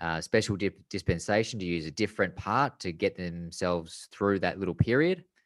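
In a dry, close recording with a quiet background and no echo, a man with a very deep, low pitch speaks at a fairly quick pace with ordinary pitch variation. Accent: Australian. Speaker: podcast co-host and former racing driver. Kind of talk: casual chat.

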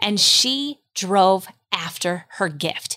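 Here is a woman with an American accent and an ordinary speaking voice. Her medium pitch carries lively intonation. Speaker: homeschooling mother. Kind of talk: casual chat.

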